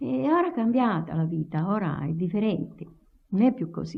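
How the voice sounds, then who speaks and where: In a Tuscan accent, a woman speaks at a moderate pace. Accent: Lower Garfagnana Tuscan dialect. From Garfagnana, Tuscany, Italy. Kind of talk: oral history interview answer.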